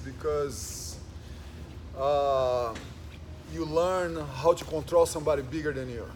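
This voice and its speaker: A man with a Portuguese accent, at a moderate pace. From Brazil. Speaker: jiu-jitsu instructor. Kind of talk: casual chat.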